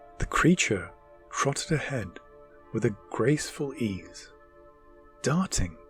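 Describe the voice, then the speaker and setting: Over music in the background, a man talks at a fairly slow pace with very wide pitch swings. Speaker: storyteller. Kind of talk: ASMR bedtime story narration. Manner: whispered, soothing, calm.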